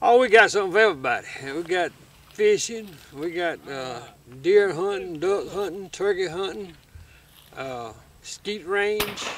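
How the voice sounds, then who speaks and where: A man with an Alabama accent, high pitch and lively intonation, at a fairly slow pace with long, frequent pauses and big swings in loudness, over noticeable background noise. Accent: Southern US (Alabama). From West Alabama. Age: 60s. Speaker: lodge owner. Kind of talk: casual interview.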